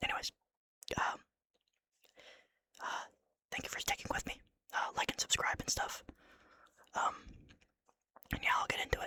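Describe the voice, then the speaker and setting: Whispering at a moderate pace, broken by long, frequent pauses. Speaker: ASMR channel host reading a horror story. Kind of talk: casual talk to camera, intro to the reading. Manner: whispered, casual, jokey between story parts.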